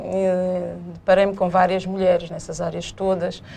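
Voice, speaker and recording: Room echo is audible as a woman speaks. She talks at a fairly slow pace. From São Tomé and Príncipe, partly raised in Portugal. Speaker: businesswoman, laundry co-owner. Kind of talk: interview.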